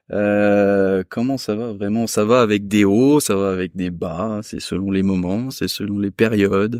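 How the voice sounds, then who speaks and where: A man with a fairly low pitch and a dark, mellow tone speaks in a fairly even intonation, recorded very cleanly against a silent background with a dry, close sound and no echo. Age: 30s. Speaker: restaurant worker. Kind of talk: casual chat. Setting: chalet on Franco-Swiss border.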